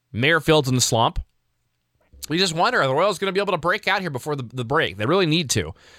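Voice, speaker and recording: Very fast and lively in intonation, a man with fairly high pitch speaks in a bright, sharp tone with vocal fry. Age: 30s. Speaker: sports podcast host. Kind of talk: solo sports recap commentary.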